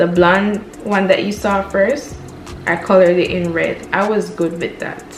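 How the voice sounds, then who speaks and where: Music plays in the background as a woman with a Jamaican accent talks in an upbeat tone at medium pitch, with ordinary pitch variation. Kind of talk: casual talk to camera.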